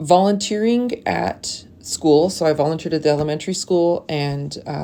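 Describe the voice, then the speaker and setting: A woman with a very deep, low voice, a dark, mellow tone, ordinary pitch variation and a Canadian accent, on a very clean recording with a silent background. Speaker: teacher. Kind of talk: personal introduction video.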